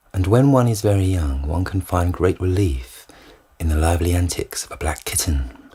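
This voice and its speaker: A man talks at a moderate pace with a very deep, low pitch and a dark, mellow tone. His intonation is lively and his voice is somewhat breathy. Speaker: reader. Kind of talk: audiobook short story reading.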